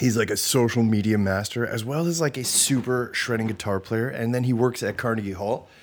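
At a very fast pace, a man with a medium pitch speaks in an animated tone. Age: 30s. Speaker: podcast host and musician. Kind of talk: casual solo monologue.

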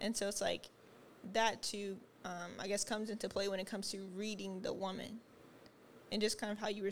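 A soft-spoken voice talks at a fairly quick pace with a monotone, flat intonation. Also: woman. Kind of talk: casual chat.

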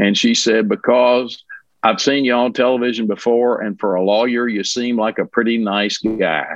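With a Kentucky accent, a man speaks at medium pitch and with fairly even intonation. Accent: western Kentucky Southern US. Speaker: lawyer. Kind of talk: casual interview.

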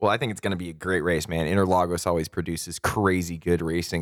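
On a very clean recording with a silent background, a man speaks. His voice is very deep and low, and his pace is fairly quick. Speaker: podcast host. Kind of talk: casual chat.

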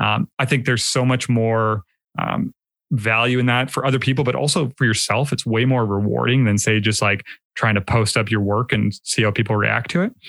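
In a Canadian accent, a man speaks at a fairly quick pace with vocal fry and very even loudness, the sound dry and close with no echo on a very clean recording over a silent background. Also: medium pitch for a man, ordinary pitch variation. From Canada. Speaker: film photographer and YouTuber. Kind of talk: casual interview chat.

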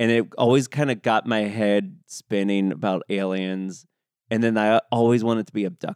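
A man with an American accent talks in an ordinary speaking voice, fairly low in pitch, at a moderate pace with ordinary pitch variation. The sound is dry and close, with no echo. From US West Coast. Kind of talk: casual chat.

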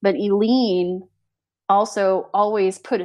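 A woman's ordinary speaking voice, medium-pitched with fairly even intonation, on a very clean recording with a silent background. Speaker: podcast co-host. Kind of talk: casual conversation.

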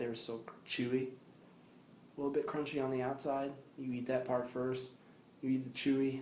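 Audible room echo surrounds a man speaking at a moderate pace and medium pitch in a flat monotone. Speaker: podcast co-host. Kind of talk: casual chat.

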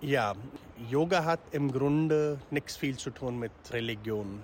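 A man at a medium pitch, with fairly even intonation and a very slow pace. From India. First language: Hindi or other Indian language (speaking German). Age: 40s. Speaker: yoga teacher. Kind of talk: interview. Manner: halting.

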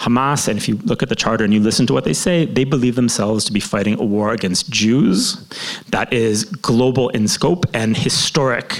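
With a Canadian accent, a man speaks fairly quickly at a medium pitch, with ordinary pitch variation and very even loudness, over noticeable background noise. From Canada, Toronto. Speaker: journalist and author. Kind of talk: live interview on stage.

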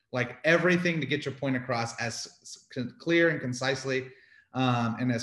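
Using a plain, everyday voice, a man with an American accent speaks at medium pitch and a moderate pace with ordinary pitch variation. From Houston, Texas. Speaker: barbecue restaurant owner. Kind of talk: casual interview.

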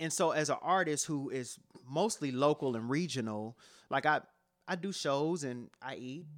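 A man's fairly high voice with an American accent, a normal speaking voice, and ordinary pitch variation, on a very clean recording with a silent background. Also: moderate pace. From Cleveland, Ohio, US. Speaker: rapper and author. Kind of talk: interview.

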